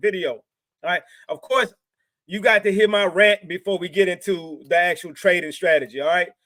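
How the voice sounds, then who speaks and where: Talking at a fairly quick pace, a man with an American accent uses a high pitch and an animated, bright, sharp tone, heard in a dry, close sound with no echo. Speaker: trading educator YouTuber. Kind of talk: motivational rant to camera.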